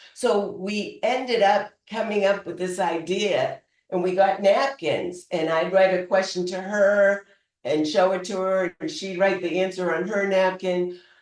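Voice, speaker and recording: The speaker talks at a fairly slow pace in a Boston accent. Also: woman, medium pitch for a woman, ordinary pitch variation. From Boston, US. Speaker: public speaker. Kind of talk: humorous storytelling speech.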